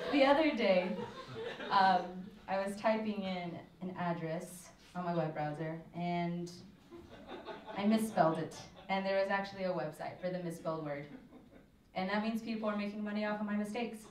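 A woman speaks with long, frequent pauses and ordinary pitch variation. Light background noise and audible room echo are present. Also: moderate pace. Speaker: stand-up comedian. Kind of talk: stand-up comedy routine. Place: stage.

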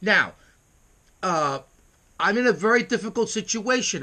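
Speaking in a raised, projected voice, a man with a high pitch and a bright, sharp tone moves at a fairly slow pace with ordinary pitch variation against a quiet background. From US Northeast, New York City. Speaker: internet radio host. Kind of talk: casual vlog monologue. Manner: brash, emphatic; halting, stumbling over words. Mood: irritated, boastful. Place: home room. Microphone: webcam.

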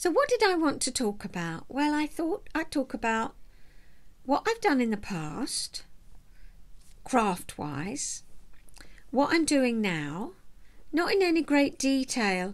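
Relaxed in tone, a woman talks at a high pitch and a very slow pace, with very wide pitch swings and long, frequent pauses. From southeast England. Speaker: vlogger and knitter, retired counsellor. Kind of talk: casual chat to camera. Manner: chatty, relaxed. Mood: warm, chatty, smiling. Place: home room. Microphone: webcam.

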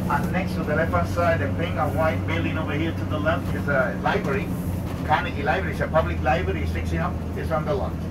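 A man speaking very fast over loud background noise. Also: ordinary pitch variation. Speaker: tour bus driver guide. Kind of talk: tour guide commentary. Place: bus. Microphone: headset.

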